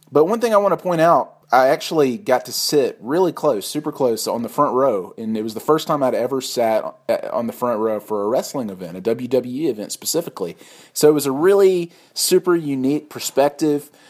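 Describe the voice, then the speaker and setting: Here is a man with a plain, everyday voice, pitched fairly high, and lively intonation. The recording is very clean, with a silent background. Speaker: podcast host. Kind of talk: casual chat.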